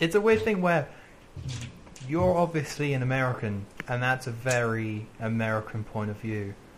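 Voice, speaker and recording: Speaking with a British accent, a man uses lively intonation at a moderate pace and medium pitch. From Britain. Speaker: video game podcast co-host. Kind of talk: casual chat.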